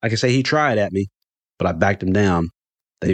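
The background is kept quiet. The speaker uses a natural reading voice.

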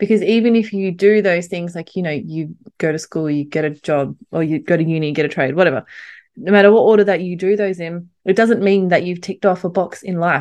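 Speaking at a fairly quick pace in an Australian accent, a woman has a fairly low pitch and ordinary pitch variation against a quiet background. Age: 30s. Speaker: podcast host. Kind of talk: solo motivational monologue. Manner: animated.

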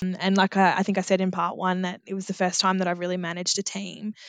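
With an Australian accent, a woman speaks at a medium pitch in a bright, sharp tone, the sound dry and close with no echo against a quiet background. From regional Australia. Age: 30s. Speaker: agriculture program leader. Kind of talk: interview.

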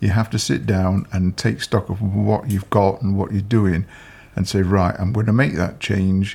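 A man with a Yorkshire accent, fairly low in pitch and somewhat breathy, at a moderate pace with fairly even intonation, in a very clean recording with a silent background. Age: 60s. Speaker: retired police officer. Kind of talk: interview. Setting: at home.

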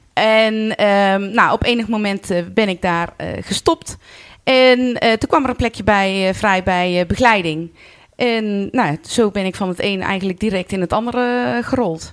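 With ordinary pitch variation, a woman speaks fairly slowly at a medium pitch. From North Brabant, Netherlands (Vught). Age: 40s. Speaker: carnival club president. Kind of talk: podcast interview. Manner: hesitant, many filler sounds.

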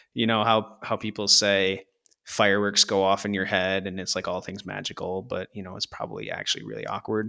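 With an American accent, a man talks at a fairly quick pace in a fairly low pitch, his bright, sharp tone held to fairly even intonation and a dry, close sound with no echo. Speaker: podcast host. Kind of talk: casual chat. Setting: remote recording.

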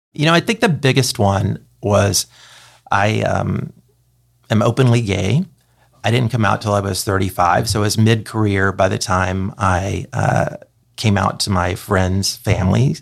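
Fairly low male pitch with vocal fry, ordinary pitch variation and a fairly slow pace. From East Texas (Kilgore). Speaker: advertising agency president. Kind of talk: interview conversation.

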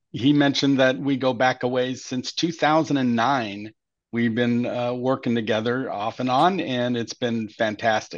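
A man with an American accent talks at a fairly slow pace with a medium pitch. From Southern California. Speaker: sales and marketing manager. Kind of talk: casual interview.

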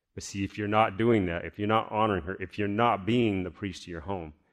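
Against a quiet background, a man with an ordinary speaking voice talks at a fairly quick pace, fairly low in pitch and with fairly even intonation. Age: 40s. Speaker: pastor. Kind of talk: sermon. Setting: church.

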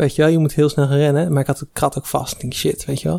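This man's tone is dark and mellow. His intonation stays monotone and flat. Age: 20s. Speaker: recent engineering graduate. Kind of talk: casual chat.

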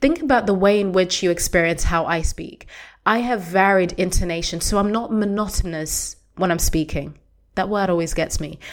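At a moderate pace, a woman speaks at a medium pitch with ordinary variation on a very clean recording with a silent background. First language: Shona. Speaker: podcast host. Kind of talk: solo podcast monologue. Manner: clearly articulated; varied intonation.

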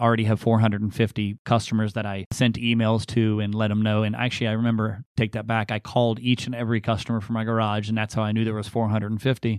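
This man talks at a very fast pace, with hardly any pauses and a medium pitch. His delivery is monotone and flat, and the sound is dry and close with no echo against a quiet background. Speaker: motorcycle repair shop owner, Marine veteran. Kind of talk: interview. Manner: halting.

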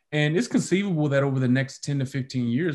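A man with an American accent, somewhat breathy and fairly high-pitched, with lively intonation against a quiet background. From Detroit, US Midwest. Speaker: sports reporter. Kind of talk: interview.

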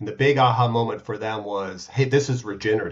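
Somewhat breathy, a man with an American accent keeps a medium pitch and fairly even intonation. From United States. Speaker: startup founder and CEO. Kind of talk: casual interview.

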